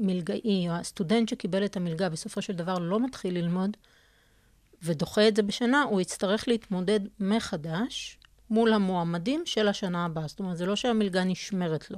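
An ordinary speaking voice: a woman at medium pitch with ordinary pitch variation, against a quiet background. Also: moderate pace. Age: 40s. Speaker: scholarship coordinator. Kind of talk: interview.

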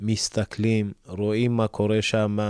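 Dry and close with no echo, a man's dark, mellow voice at a fairly low pitch moves at a very slow pace on a very clean recording with a silent background. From Ethiopia. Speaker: youth counselor and family representative. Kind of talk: interview. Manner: hesitant.

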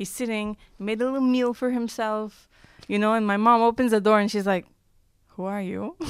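Using a plain, everyday voice, a woman with an American accent speaks at a moderate pace and fairly high pitch with fairly even intonation. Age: 30s. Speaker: radio station manager and producer. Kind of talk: storytelling in casual chat.

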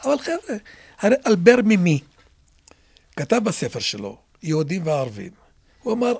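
This man speaks with an Arabic accent. His pitch swings very widely. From Israel, Druze community (Carmel). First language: Arabic (speaking Hebrew). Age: 70s. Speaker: local council head. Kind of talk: interview. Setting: studio.

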